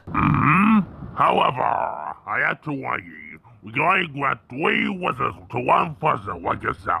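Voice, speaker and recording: A man puts on a character voice at a fairly high pitch. He goes at a fairly slow pace with hardly any pauses. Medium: audio drama. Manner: friendly, cheerful.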